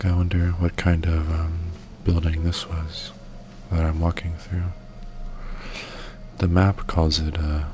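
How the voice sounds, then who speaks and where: Soft-spoken and relaxed, a man talks at a very slow pace in a very deep, low pitch with monotone, flat intonation. Noticeable background noise runs underneath. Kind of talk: soft-spoken ASMR gaming commentary. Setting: gameplay recording with game audio. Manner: soft-spoken, relaxed.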